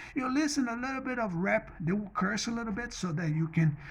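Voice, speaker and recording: Mumbling at a moderate pace, a man with a Portuguese accent makes very wide pitch swings. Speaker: vlogger. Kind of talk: personal monologue vlog. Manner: halting, repetitive.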